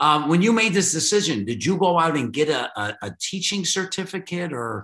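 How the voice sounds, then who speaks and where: A high-pitched man with a Chicago accent at a moderate pace, very wide pitch swings and hardly any pauses. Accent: Chicago American. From Chicago, US Midwest. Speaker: podcast host. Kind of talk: casual interview chat. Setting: video call.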